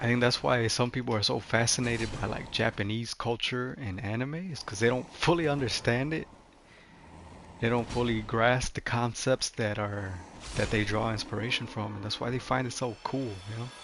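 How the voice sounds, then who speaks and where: A man's medium pitch shows ordinary variation as he talks at a moderate pace. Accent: non-native. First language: not English. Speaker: gaming streamer. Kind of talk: casual livestream commentary. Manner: casual, many fillers.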